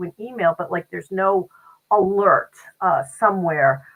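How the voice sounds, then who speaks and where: Music in the background behind a medium-pitched female voice. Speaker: podcast co-host and business owner. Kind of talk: casual conversational podcast chat. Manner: fast.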